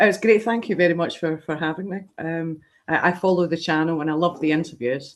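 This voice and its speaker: At a very fast pace, a woman talks at a fairly low pitch with ordinary pitch variation. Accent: Scottish. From Scotland. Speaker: horror convention organizer. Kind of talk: interview. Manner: halting, many fillers.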